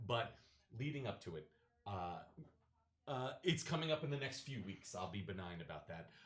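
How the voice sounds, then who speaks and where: A man talks loudly at a moderate pace in a medium pitch, his voice swinging very widely in pitch and broken by long, frequent pauses. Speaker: wedding DJ. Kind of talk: casual chat.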